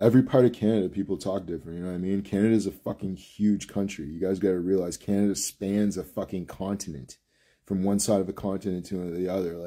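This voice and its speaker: A man talks at a very fast pace in a fairly low, dark, mellow voice with fairly even intonation. The recording is very clean, with a silent background. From Nova Scotia, Canada.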